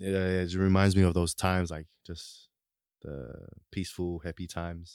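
A very deep, low male voice in a Tongan accent, moderate in pace, monotone and flat, with big swings in loudness. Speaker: interviewee sharing life story. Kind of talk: casual chat.

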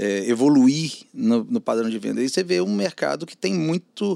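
The background is silent and the recording very clean. A man talks at a medium speed. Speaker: advertising media entrepreneur. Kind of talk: casual interview chat.

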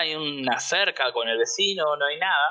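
This man's pitch is fairly high, his pitch variation ordinary, and his pace fairly slow. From Argentina. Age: 30s. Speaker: interviewee, Argentine emigrant living in the US. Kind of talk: casual interview, personal testimony. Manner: conversational, halting with repetitions.

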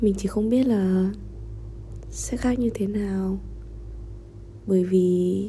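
A woman at medium pitch and a very slow pace, fairly even in intonation, with long, frequent pauses and audible room echo. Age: 20s. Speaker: vlogger. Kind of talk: personal diary monologue.

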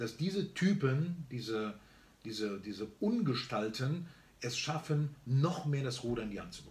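A somewhat breathy man's voice with lively intonation, a fairly slow pace and big swings in loudness. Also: medium pitch for a man. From Germany, born in Barcelona. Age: 50s. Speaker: entrepreneur and speaker. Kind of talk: casual interview chat. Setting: on a farm, filmed on camera.

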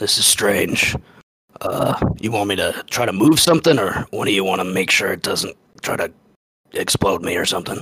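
A man's raspy, put-on character voice at a fairly low pitch and moderate pace. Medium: actual play.

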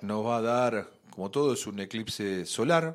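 A man's voice with very wide pitch swings. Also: very clean recording, silent background. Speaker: radio host, astrologer. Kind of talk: casual chat.

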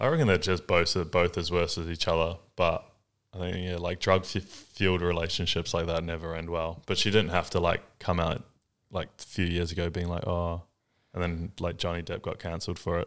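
A man with a New Zealand accent, very deep and low, fairly quick and monotone in a flat delivery. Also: very clean recording, silent background. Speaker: podcast host, vintage clothing store owner. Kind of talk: casual chat.

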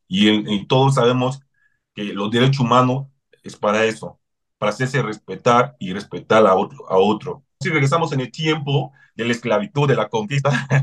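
A man talks with a non-native accent. His pitch varies in an ordinary way. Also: medium pitch for a man, moderate pace. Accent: foreign accent in Spanish. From Cameroon. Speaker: human rights advocate. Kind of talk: interview.

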